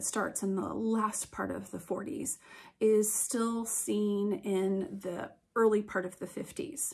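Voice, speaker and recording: Somewhat breathy and very slow, a woman speaks at a medium pitch with ordinary pitch variation on a very clean recording with a silent background. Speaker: museum educator. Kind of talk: educational talk to camera. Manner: casual, hesitant with fillers.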